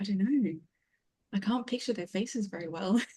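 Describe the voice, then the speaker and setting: A somewhat breathy, dark and mellow voice at a fairly quick pace. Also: woman. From Australia. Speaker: fiction writer and writing coach. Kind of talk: casual chat.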